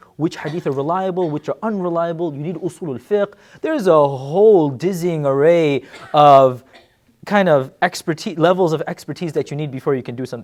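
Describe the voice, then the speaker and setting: A man with an American accent and a high pitch talks at a very fast pace. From US Northeast (New York). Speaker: Islamic scholar and teacher. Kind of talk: lecture. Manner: conversational, uses filler words.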